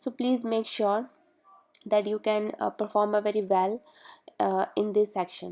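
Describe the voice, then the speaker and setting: With a non-native accent, a woman talks at a fairly slow pace with long, frequent pauses. Her fairly high voice has a dark, mellow tone and monotone, flat intonation. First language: not English. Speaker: study-abroad advice youtuber. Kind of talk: tutorial. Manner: halting, many fillers.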